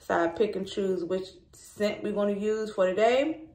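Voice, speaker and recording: There is audible room echo on this recording. A woman talks with ordinary pitch variation. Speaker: lifestyle vlogger. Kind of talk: casual vlog chat. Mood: relaxed, chatty. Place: bathroom. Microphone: phone near.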